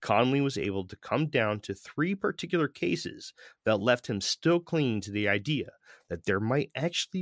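A man in an American accent at medium pitch and moderate pace, with very wide pitch swings. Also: dry, close sound with no echo. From US Northeast, Connecticut. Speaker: podcast host. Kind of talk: scripted narration. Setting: video call.

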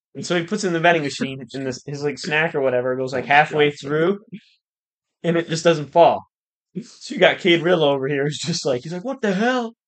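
A man talks at a fairly quick pace in an ordinary speaking voice, his fairly high pitch showing ordinary variation. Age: young. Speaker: guest. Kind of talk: casual chat.

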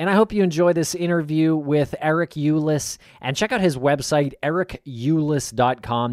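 A man talks in a normal speaking voice at a moderate pace with ordinary pitch variation. The sound is dry and close, with no echo. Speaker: podcast host. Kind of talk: podcast interview.

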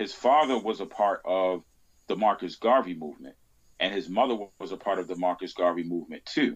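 A man with an American accent and a plain, everyday voice, fairly low in pitch, talking at a fairly quick pace with ordinary pitch variation. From US, Baltimore. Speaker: podcast host on Malcolm X. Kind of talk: casual interview chat.

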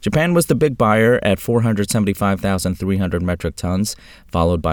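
A man speaks at a fairly quick pace in an ordinary speaking voice, his fairly low pitch moving with ordinary variation over a very clean recording with a silent background. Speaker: farm news presenter. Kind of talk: news reading, scripted market and weather report. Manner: steady, formal, even-paced delivery.

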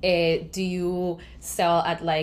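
A woman's fairly low voice in a Spanish accent, with audible room echo. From Colombia. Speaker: podcast host and graphic designer. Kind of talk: casual interview. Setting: remote video call.

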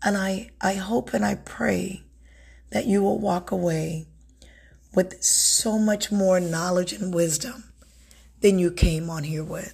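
A woman with a warm tone speaks at a very slow pace, somewhat breathy. Her long pauses come often. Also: medium pitch for a woman, ordinary pitch variation. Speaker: self-help podcast host and author. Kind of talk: motivational solo talk. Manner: warm, conversational.

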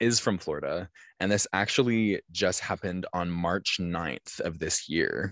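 A man with a very deep, low pitch, an animated tone and ordinary pitch variation, at a fairly slow pace, in dry close sound with no echo over a quiet background. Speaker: podcast host. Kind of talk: casual chat, true crime storytelling. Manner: animated, joking.

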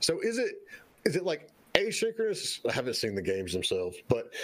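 With a Southern US accent, a man speaks at a moderate pace against noticeable background noise. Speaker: co-host, game business consultant. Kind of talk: casual interview chat. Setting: live-streamed online show.

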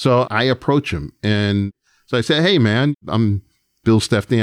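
Using a plain, everyday voice with an American accent, a man talks at a moderate pace with a fairly low pitch and lively intonation, in a dry, close sound with no echo and a quiet background. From New York. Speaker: music producer and record executive. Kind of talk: interview storytelling.

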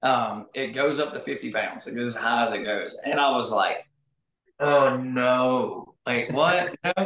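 A man's medium-pitched voice with ordinary pitch variation and a bright, sharp tone. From Arkansas. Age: 30s. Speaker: bowhunter and outdoors YouTuber. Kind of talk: casual chat. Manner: fast.

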